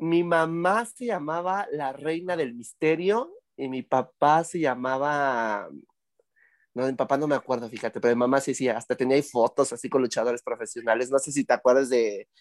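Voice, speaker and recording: Fairly high in pitch, a man speaks in a normal speaking voice at a moderate pace with ordinary pitch variation. The recording is very clean with a silent background, and the sound is dry and close with no echo. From Tlaxcala, Mexico. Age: 30s. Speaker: cabaret and theatre performer. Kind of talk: casual comedic interview. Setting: cabaret venue.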